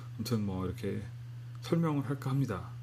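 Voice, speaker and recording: The voice is somewhat breathy and dark, mellow in tone, with ordinary pitch variation and audible room echo. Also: man. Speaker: internet radio DJ. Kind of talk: unscripted music radio talk. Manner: halting.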